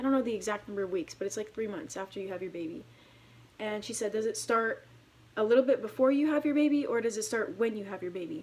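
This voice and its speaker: A very fast, fairly high-pitched woman's voice with lively intonation. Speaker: active duty airman and vlogger. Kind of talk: casual vlog. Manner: halting, many fillers.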